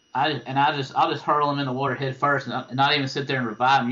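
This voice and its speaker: A man with an eastern North Carolina accent, fairly high in pitch, at a very fast pace. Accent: eastern North Carolina Southern. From eastern North Carolina (Tarboro). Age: 40s. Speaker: fishing guide. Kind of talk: interview. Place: home room. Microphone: video call.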